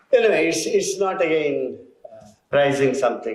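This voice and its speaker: A man at a fairly slow pace, in audible room echo. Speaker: educator. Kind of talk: ceremonial speech.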